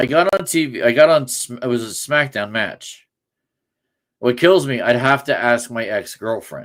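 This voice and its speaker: In a very clean recording with a silent background, a man with an American accent speaks with ordinary pitch variation. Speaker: sports podcast host. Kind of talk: casual chat. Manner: loud; halting, many restarts.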